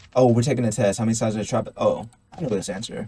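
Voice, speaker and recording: Somewhat breathy, a man speaks at a medium pitch. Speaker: gaming YouTuber. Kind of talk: let's play commentary. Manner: rambling, casual.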